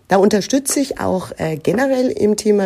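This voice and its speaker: A woman's voice in very wide pitch swings, with noticeable background noise. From Germany, Nuremberg (Franconia). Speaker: recruiting manager. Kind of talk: interview.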